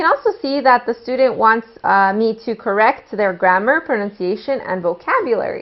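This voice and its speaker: A normal speaking voice from a woman, fairly high in pitch, with ordinary pitch variation and a moderate pace. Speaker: English teacher trainer. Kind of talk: tutorial.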